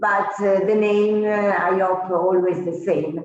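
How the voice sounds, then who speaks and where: In an Italian accent, a woman speaks at a very slow pace, her pitch medium and her intonation fairly even. Audible room echo surrounds her voice. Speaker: winemaker. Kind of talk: interview. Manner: halting.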